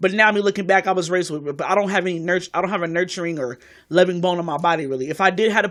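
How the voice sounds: On a very clean recording with a silent background, a woman talks fast in a fairly low pitch, with a fairly bright tone and ordinary pitch variation.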